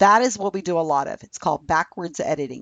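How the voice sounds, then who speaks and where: A woman with an American accent talks at a fairly quick pace and medium pitch. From California. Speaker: Wikipedia editing project founder. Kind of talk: interview. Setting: remote call.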